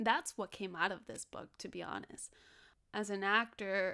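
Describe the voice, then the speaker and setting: Here a woman speaks with a Spanish accent. Her tone is bright and sharp, and her pace is moderate. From Los Angeles (South Central), born in Mexico. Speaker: actress. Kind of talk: casual interview chat.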